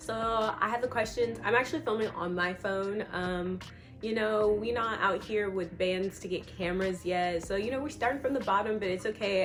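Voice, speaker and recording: There is noticeable background noise and audible room echo. A woman talks at a fairly quick pace. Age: 20s. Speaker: vlogger. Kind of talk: casual chat. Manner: animated.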